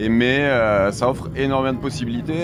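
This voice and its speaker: A man with a southern French accent, talking at a fairly slow pace, with audible room echo and noticeable background noise. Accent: pronounced southern French (Béziers). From southern France, Béziers. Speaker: ice cream maker and ski patroller. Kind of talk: interview. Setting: on board a moving train. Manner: halting, many hesitations.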